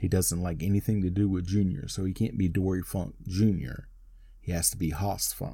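A man with an American accent speaks at a moderate pace with a very deep, low pitch and fairly even intonation. His tone is dark and mellow, and somewhat breathy. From North Carolina. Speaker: wrestling podcast host. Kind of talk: match play-by-play recap. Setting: home studio.

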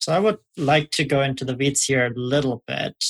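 A man's somewhat breathy voice at a fairly high pitch, fairly slow in pace, with fairly even intonation and a dry, close sound with no echo. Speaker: podcast host and moderator. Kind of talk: casual podcast panel.

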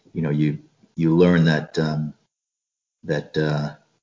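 A man with an American accent speaks at a very slow pace. His pitch is very deep and low. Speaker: retired Marine and security contractor. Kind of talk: casual interview chat.

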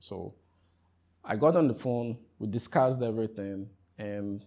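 A man with a Ghanaian accent speaks at a fairly low pitch and a fairly slow pace. His tone is dark and mellow, on a very clean recording with a silent background. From Ghana (Accra, eastern region; hometown Keta, Volta). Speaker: tech startup founder and CEO. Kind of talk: interview.

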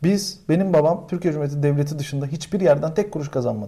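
A man talking at a very fast pace. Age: 30s. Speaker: podcast host and comedian. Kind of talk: casual chat. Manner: animated.

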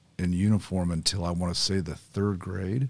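An ordinary speaking voice with an American accent, moderate pace and fairly even intonation, on a very clean recording with a silent background. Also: man. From Carmel, Indiana, US Midwest. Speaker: former college football player, cancer survivor. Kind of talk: casual chat.

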